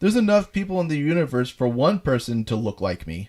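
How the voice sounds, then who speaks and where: A man uses a put-on character voice at a fairly high pitch. He talks at a very fast pace with very wide pitch swings. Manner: weak imitation.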